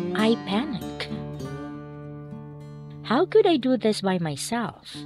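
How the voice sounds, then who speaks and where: Music plays in the background. The speaker talks at a very slow pace with a Filipino accent. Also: woman. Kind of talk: devotional reading.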